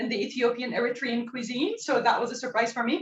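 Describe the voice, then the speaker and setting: Speaking at a fairly quick pace, a woman with a Turkish accent uses a high voice. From northwestern Turkey. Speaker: cooking instructor. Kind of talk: cooking demonstration. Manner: hesitant, many fillers.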